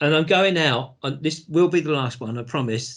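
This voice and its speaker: A man with a British accent, fairly high in pitch, at a moderate pace with ordinary pitch variation, over a quiet background. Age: 60s. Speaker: business executive, entrepreneur. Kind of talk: interview.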